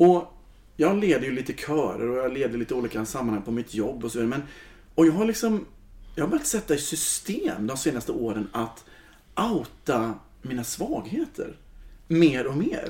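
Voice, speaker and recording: A man's fairly high, dark, mellow voice at a moderate pace, with very wide pitch swings. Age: 40s. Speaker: choir leader. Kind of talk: casual chat.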